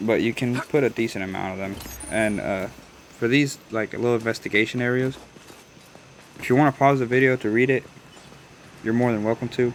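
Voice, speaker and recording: A man with an American accent talks with long, frequent pauses against noticeable background noise. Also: medium pitch for a man, fairly quick pace. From Des Moines, Iowa. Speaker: gaming YouTuber. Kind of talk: gameplay voice-over commentary. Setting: recorded voice-over away from home. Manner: casual, hesitant with fillers.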